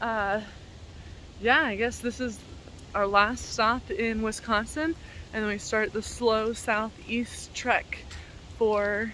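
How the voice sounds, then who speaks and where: A woman talks at a very slow pace in a fairly high pitch, with a bright, sharp tone and fairly even intonation. The sound is dry with no echo, over light background noise. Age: 20s. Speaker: travel vlogger. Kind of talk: casual vlog narration. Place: open country. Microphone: phone near.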